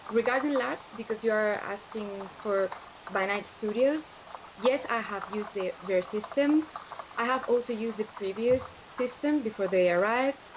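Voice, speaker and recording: A woman with a Spanish accent talks at a moderate pace and fairly high pitch, with ordinary pitch variation and noticeable background noise. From Spain. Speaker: larp organizer and tabletop role-player. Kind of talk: interview on livestream. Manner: halting, many fillers and repeats.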